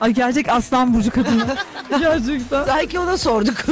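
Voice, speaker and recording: Over noticeable background noise, a woman talks at a moderate pace in a high voice. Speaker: radio host and astrologer. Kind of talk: casual chat. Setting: studio. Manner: animated.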